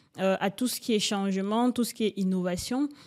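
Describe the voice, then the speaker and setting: A woman talks at medium pitch, her pitch varying in an ordinary way. The background is silent on this very clean recording. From Cameroon. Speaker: entrepreneur. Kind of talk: interview. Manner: hesitant, many fillers.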